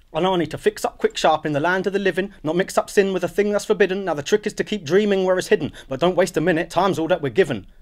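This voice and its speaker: A man's high voice at a very fast pace, with hardly any pauses, ordinary pitch variation and a quiet background. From Luton, England. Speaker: spoken word poet. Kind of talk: spoken word poetry performance. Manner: rhythmic, rhymed delivery. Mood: reflective, rhythmic, wry. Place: studio.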